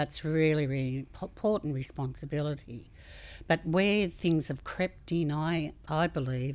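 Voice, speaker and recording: A woman with an Australian accent, very deep and low in pitch, at a fairly slow pace. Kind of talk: interview.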